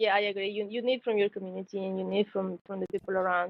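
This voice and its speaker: A woman's medium-pitched voice in a Spanish accent, at a very fast pace. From Mexico. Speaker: engineering graduate, tech intern. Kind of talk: podcast interview. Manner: halting, many fillers.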